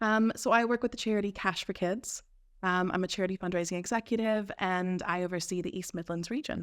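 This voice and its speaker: A woman's medium-pitched voice with an American accent, fairly quick and fairly even in intonation, in a very clean recording with a silent background. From US South, Georgia. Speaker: charity fundraiser, former teacher. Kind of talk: podcast interview. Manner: casual, frequent fillers.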